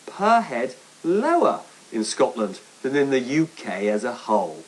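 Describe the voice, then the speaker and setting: A man's pitch swings very widely as he talks through noticeable background noise. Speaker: economics editor. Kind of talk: TV news report. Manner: highly varied intonation, high pre-heads, rising heads.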